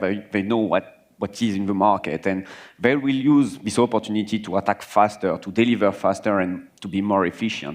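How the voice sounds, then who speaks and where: A man talks with a French accent at a fairly quick pace. His pitch sits fairly low. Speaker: cybersecurity manager. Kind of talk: panel discussion.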